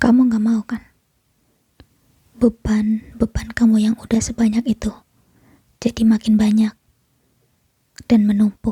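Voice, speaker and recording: Speaking fairly slowly at a fairly high pitch, a woman uses a soothing tone with monotone, flat intonation. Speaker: ASMR creator playing a comforting mother figure. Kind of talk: ASMR comfort roleplay. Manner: soft, whispered, soothing.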